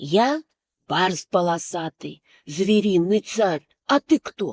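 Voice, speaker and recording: A woman's put-on character voice at a medium pitch and a very slow pace. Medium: read story. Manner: boastful yet easily scared.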